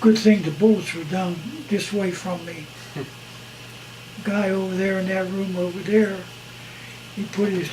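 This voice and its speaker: A high-pitched man speaks at a fairly slow pace with fairly even intonation. There is noticeable background noise. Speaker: war veteran. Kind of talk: interview answer. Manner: casual, halting.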